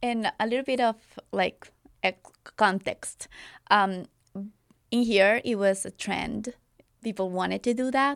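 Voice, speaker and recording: Her voice fairly high and her intonation fairly even, a woman leaves long, frequent pauses, recorded with a dry, close sound and no echo. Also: fairly slow pace. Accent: Spanish. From Colombia. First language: Spanish. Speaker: wedding filmmaker. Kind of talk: casual interview. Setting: studio.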